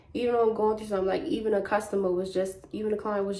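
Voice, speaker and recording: Audible room echo and noticeable background noise surround a woman speaking at a very fast pace. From Baltimore, US. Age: 20s. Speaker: vlogger. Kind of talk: casual chat. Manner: animated.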